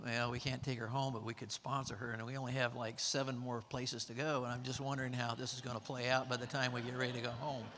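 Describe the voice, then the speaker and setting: Talking very fast with hardly any pauses, a man with a Texas accent has a bright, sharp tone, medium pitch and monotone, flat intonation. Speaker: mission trip participant, sponsor. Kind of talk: testimony. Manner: halting, with many fillers.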